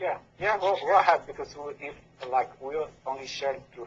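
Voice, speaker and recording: The man's voice is somewhat breathy. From Dominican Republic. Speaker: left-hand path practitioner. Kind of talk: podcast interview. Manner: halting.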